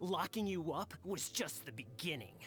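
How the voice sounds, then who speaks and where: A man's put-on character voice, raspy and high-pitched, with very wide pitch swings over clear background noise. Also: moderate pace. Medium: video game. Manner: stammering when scolded.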